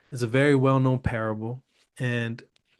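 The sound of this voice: Over a quiet background, an unforced reading voice moves with fairly even intonation.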